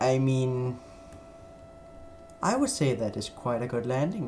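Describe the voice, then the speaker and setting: Speaking with a Danish accent, a man talks at a fairly slow pace at a medium pitch. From Denmark. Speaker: flight sim streamer. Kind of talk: live stream gameplay commentary. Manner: halting.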